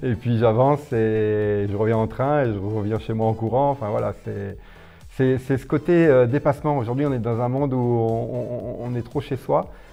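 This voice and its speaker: With music playing in the background, a man talks at a moderate pace. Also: medium pitch for a man, ordinary pitch variation. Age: 50s. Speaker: ultra-distance runner. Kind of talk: interview. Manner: hesitant, many fillers.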